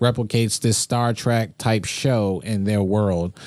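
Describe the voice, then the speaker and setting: An ordinary speaking voice from a man, medium-pitched and fairly slow. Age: 20s. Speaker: podcast host. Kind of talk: casual chat; news reading.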